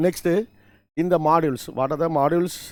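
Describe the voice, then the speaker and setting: In a Tamil accent, a man speaks at a moderate pace with ordinary pitch variation. The recording is very clean, with a silent background. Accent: Tamil-accented Indian English. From Tamil Nadu, India. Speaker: college lecturer. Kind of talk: lecture. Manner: halting, with repetitions and self-corrections.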